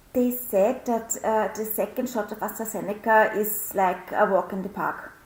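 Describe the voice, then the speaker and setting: Over noticeable background noise, a woman speaks at a fairly high pitch in a monotone with flat intonation. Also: moderate pace. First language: not English. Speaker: show participant. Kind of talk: casual chat.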